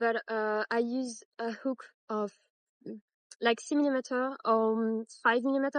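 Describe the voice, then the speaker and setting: The speaker has a French accent. Pitch varies in an ordinary way. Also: woman. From France. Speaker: crochet tutorial maker. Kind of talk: tutorial. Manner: halting, many fillers; casual.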